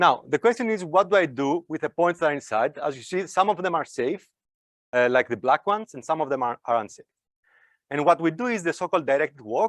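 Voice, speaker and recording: A man talks at a very fast pace with a fairly high pitch and lively intonation. The background is quiet. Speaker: academic researcher giving invited talk. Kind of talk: lecture.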